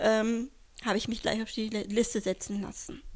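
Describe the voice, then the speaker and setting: The woman's pitch sits fairly high. She takes a fairly slow pace. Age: 40s. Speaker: kidney transplant recipient. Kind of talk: interview.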